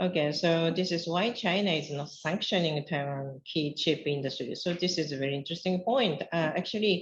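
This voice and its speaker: A woman with a Japanese accent talks at a fairly low pitch, somewhat breathy, with hardly any pauses. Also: ordinary pitch variation, moderate pace. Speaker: academic researcher. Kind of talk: conference presentation. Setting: conference panel.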